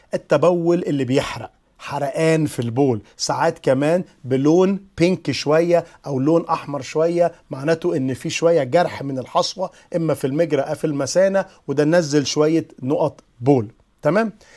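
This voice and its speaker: A man's fairly high-pitched, dark, mellow voice at a moderate pace, with ordinary pitch variation and a quiet background. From Egypt. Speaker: physician. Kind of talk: lecture. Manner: casual, explanatory. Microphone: lapel.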